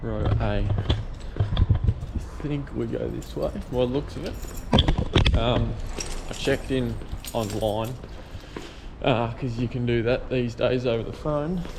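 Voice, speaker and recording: A man with an Australian accent speaks at a very slow pace. Noticeable background noise and audible room echo surround him. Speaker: excavation business owner vlogger. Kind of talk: casual vlog. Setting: travelling, airport and outdoor expo. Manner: soft-spoken.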